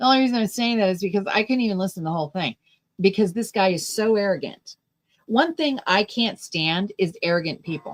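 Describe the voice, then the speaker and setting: With lively intonation and a fairly quick pace, a woman talks at medium pitch in a plain, everyday voice. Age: 60s. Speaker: political talk show host. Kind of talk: livestream commentary with chat. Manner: casual, conversational.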